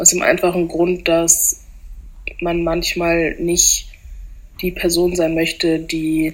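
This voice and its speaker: A woman speaks with a fairly low pitch. Her intonation is monotone and flat, and noticeable background noise sits behind her. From German-French bilingual household. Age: 20s. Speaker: student. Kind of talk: testimony.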